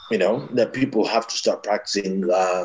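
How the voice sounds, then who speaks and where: Ordinary pitch variation and a fairly slow pace from a man. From born in Ethiopia, schooled in Egypt and Malta, college in US. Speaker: brand consultant. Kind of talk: interview. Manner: halting, many repetitions.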